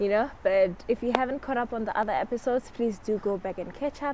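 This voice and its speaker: A woman at a fairly quick pace, ordinary pitch variation, and noticeable background noise. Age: 20s. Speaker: lifestyle vlogger. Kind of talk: casual chat. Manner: fast.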